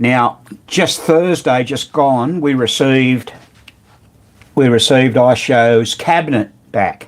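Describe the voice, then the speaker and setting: A man with an Australian accent speaks at a very slow pace, pausing long and often. His pitch sits in the medium range, with ordinary variation. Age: 70s. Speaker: pinball repairer. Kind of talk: live stream chat. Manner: casual.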